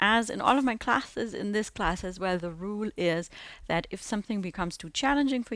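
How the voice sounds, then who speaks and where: At a fairly quick pace, a woman with an ordinary speaking voice talks at medium pitch with ordinary pitch variation. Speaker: handstand teacher. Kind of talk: audio guided exercise class instruction. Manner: calm, instructive.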